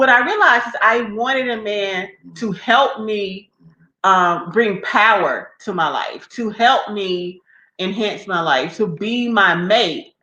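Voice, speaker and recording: A woman speaks loudly and very slowly, her bright, sharp voice fairly high in pitch with ordinary pitch variation. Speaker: relationship talk show co-host. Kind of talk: casual chat.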